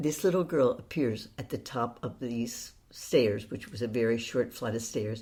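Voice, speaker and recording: On a very clean recording with a silent background, a woman with an American accent speaks in a very deep, low pitch. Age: 80s+. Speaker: author and occasional actress. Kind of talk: interview, personal storytelling.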